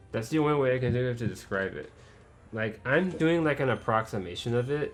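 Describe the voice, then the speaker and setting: A man speaks at a medium pitch with lively intonation and a fairly quick pace. Music plays in the background. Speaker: let's play gamer. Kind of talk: gameplay commentary. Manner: casual, rambling with self-corrections.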